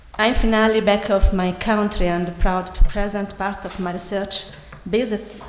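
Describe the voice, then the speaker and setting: With an Italian accent, a woman speaks at a moderate pace and medium pitch, her intonation fairly even. The room echo is audible, and so is noticeable background noise. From Italy. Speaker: architect and PhD student. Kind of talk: conference presentation. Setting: conference hall with audience. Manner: halting, many hesitations.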